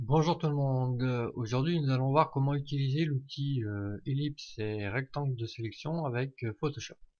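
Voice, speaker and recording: At a moderate pace, a man speaks in a fairly high, somewhat breathy voice with ordinary pitch variation. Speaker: software tutorial maker. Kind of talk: tutorial. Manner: hesitant, many fillers.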